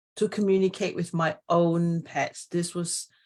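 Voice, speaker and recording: A woman with a fairly low pitch talks fairly slowly. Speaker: animal communicator and author. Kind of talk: live stream chat. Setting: Facebook live stream. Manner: animated.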